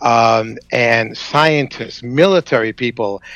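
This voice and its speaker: A man with a Boston accent and ordinary pitch variation. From Boston area, US Northeast. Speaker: journalist and radio producer. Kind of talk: radio interview. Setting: Skype call into radio show.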